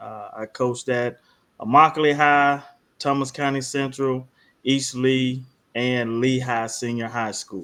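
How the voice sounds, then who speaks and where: A man with a Southern US accent speaks at a fairly slow pace with fairly even intonation. His tone is bright and sharp, and his loudness swings widely. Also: medium pitch for a man. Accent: Southern US (South Georgia). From South Georgia, US South. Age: 40s. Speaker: high school football coach and army veteran. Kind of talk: casual podcast chat. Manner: halting, many fillers.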